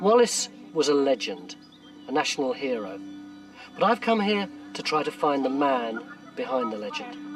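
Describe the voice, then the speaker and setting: A man with a fairly high voice speaks at a moderate pace, with very wide pitch swings and long, frequent pauses, while music plays in the background. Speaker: documentary presenter. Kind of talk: historical documentary narration.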